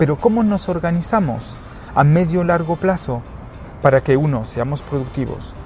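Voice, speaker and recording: Amid noticeable background noise, a man with a fairly high pitch speaks at a moderate pace with lively intonation. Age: 40s. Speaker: HR executive. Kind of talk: interview. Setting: outdoor rooftop terrace.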